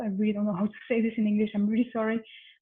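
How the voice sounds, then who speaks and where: In a strong French accent, a woman with a fairly high pitch speaks in a monotone, flat way. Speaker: panel discussant and moderator. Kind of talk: panel moderation. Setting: online conference.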